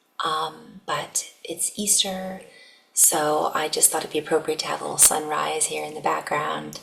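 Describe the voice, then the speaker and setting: A soft-spoken woman talks at a moderate pace. Noticeable background noise is present. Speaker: spiritual channeler. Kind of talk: channeled spiritual message. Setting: at home. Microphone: poor microphone.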